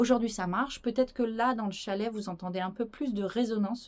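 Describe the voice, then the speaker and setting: Her intonation is fairly level. This woman talks at a moderate speed. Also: very clean recording, silent background. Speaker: YouTuber presenting strange places. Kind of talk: casual vlog to camera. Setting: wooden cabin chalet. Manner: hesitant, many fillers.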